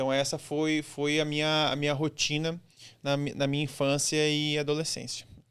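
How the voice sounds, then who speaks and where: A man with a southern Brazilian accent speaks at a moderate pace in a fairly high voice with monotone, flat intonation. His loudness is very even, and the recording is very clean with a silent background. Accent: gaúcho accent, noticeable. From Brazil, rural Rio Grande do Sul (Santa Cruz do Sul). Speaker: former military man. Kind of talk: interview.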